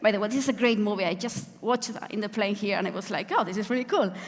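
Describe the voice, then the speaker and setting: A woman at medium pitch with a Spanish accent, amid noticeable background noise and audible room echo. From Spain. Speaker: software engineering manager, conference speaker. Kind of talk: conference talk. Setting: stage with audience.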